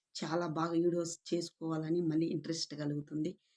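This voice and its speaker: A soft-spoken woman with a fairly low pitch and a dark, mellow tone, in dry, close sound with no echo. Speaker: YouTube vlogger. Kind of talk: casual monologue to camera.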